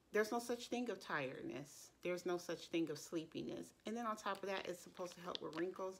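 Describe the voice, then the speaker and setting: Pitch varies in an ordinary way while the speaker keeps a moderate pace. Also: woman. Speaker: beauty vlogger. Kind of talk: casual product review chat. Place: home room. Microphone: phone near.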